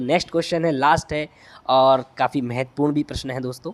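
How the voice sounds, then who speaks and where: A man with a Bundelkhand accent speaks at a moderate pace, and the sound is dry and close with no echo. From Bundelkhand, India. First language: Bundeli (speaking Hindi). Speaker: agriculture exam tutor. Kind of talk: tutorial. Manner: halting.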